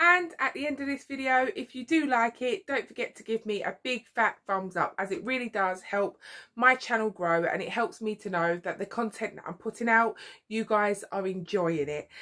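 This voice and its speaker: Very wide pitch swings and big swings in loudness at a moderate pace, against a quiet background. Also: woman. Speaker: vlogger. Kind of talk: casual vlog chat. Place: home room.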